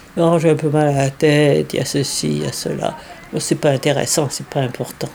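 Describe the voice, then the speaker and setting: Noticeable background noise around a woman whose pitch varies in an ordinary way. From France. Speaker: day-care centre visitor. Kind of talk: interview.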